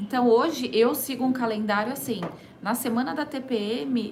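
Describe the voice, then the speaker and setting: A woman talks at a fairly slow pace with ordinary pitch variation. Room echo is audible, along with noticeable background noise. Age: 30s. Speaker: entrepreneur and holistic therapist. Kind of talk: radio interview. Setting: radio studio.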